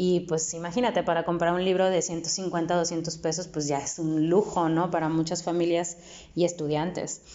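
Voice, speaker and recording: This woman has a fairly low pitch. She speaks with monotone, flat intonation. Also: moderate pace. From Mexico, Nuevo León (Apodaca). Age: 30s. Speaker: poet. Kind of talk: interview. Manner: halting, with many repetitions and fillers.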